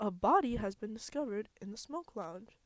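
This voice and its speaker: A female-sounding put-on character voice, fairly high in pitch and fairly quick in pace. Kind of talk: announcement. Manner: silly, put-on.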